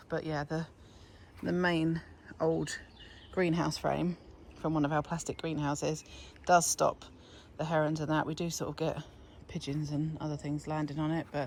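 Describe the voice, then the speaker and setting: A woman speaks with a British accent in a very deep, low pitch. Her delivery is a flat monotone with long, frequent pauses. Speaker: allotment gardening vlogger. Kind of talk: casual walkthrough vlog. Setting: outdoors on allotment plot.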